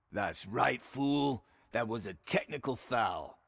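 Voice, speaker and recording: A man puts on a raspy character voice at a medium pitch and a fairly slow pace. The recording is very clean, with a silent background. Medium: video game. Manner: casual, quippy.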